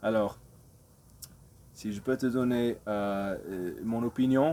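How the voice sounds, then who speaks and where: In a non-native accent, a voice with a dark, mellow tone speaks at a very slow pace with ordinary pitch variation. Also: man. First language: not French (speaking French). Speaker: crypto video creator. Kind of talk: casual investment talk to camera. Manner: halting, many hesitations.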